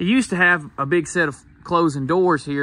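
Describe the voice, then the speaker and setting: Moderately paced male speech with a dry sound with no echo. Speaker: sawmill vlogger. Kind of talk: casual vlog chat. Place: garden. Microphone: phone near.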